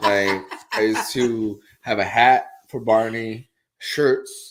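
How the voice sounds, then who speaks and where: On a very clean recording with a silent background, a man speaks very slowly at a medium pitch with monotone, flat intonation. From Puerto Rico. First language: Spanish. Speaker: real estate agent, show co-host. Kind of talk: casual chat. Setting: live stream.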